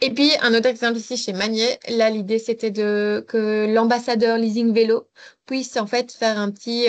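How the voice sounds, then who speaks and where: Fairly high-pitched female voice with monotone, flat intonation against a quiet background. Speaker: mobility advisor. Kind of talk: webinar presentation. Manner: fast.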